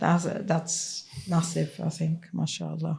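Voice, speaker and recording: With a Swiss German accent, a woman speaks in a fairly low pitch and a monotone, flat intonation. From Switzerland. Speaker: head teacher. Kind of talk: interview.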